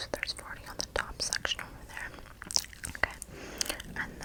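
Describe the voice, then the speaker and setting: Whispering over noticeable background noise. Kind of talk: ASMR whisper roleplay, counting freckles with mouth sounds. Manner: whispered, soft, slow, repetitive.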